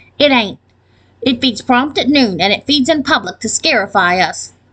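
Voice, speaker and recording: A put-on character voice at a moderate pace, with lively intonation. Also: woman, high pitch for a woman. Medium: read story. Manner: deadpan, matter-of-fact.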